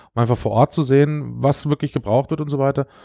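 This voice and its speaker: Against a quiet background, a man with a medium pitch and a dark, mellow tone speaks at a fairly quick pace with fairly even intonation. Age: 40s. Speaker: civil protection volunteer leader. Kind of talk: interview.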